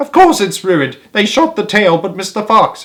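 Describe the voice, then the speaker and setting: A man performs a put-on character voice, high in pitch. He moves at a moderate pace with very wide pitch swings. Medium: read story. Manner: impatient, commanding.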